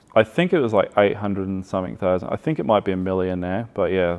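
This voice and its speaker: Here is a man with an Australian accent. His voice is very deep and low. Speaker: outdoor gear business owner. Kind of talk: casual chat.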